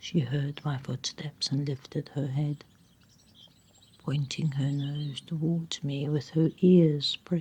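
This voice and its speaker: Soft-spoken and somewhat breathy, a woman with a very deep, low pitch and a dark, mellow, soothing tone talks at a very slow pace in a monotone, flat intonation. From South Africa. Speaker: storyteller. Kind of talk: sleep story. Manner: soft-spoken, soothing.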